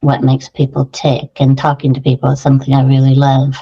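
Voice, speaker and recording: A woman's very deep, low, somewhat breathy voice with an American accent, dark and mellow in tone, in a dry, close sound with no echo. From US, San Francisco Bay Area. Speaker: qualitative researcher and career coach. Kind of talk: interview.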